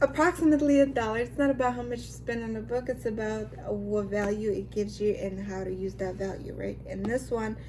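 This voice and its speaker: A woman speaks in an animated tone at a fairly quick pace, with hardly any pauses. Noticeable background noise is present. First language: not English. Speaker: lifestyle vlogger. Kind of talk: casual vlog talk.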